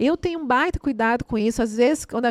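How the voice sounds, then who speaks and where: Lively intonation marks this woman's high voice, recorded with a dry, close sound and no echo. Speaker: theatre and dance artist. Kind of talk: casual interview chat. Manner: animated.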